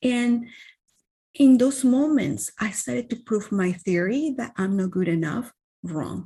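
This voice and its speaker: Fairly slowly and somewhat breathily, a woman speaks in a fairly high voice with lively intonation. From Venezuela. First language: Spanish. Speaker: wellness coach. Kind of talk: interview.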